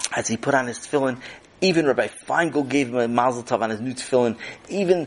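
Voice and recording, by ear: The text is read aloud in a natural voice.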